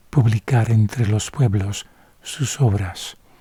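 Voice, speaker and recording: Calm in tone, a man speaks at a fairly slow pace with a fairly low pitch. His voice is dark, mellow and somewhat breathy, with fairly even intonation. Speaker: Bible reader / ASMR narrator. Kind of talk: sleep-aid Bible reading, bilingual English and Spanish. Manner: soft, calm, slow.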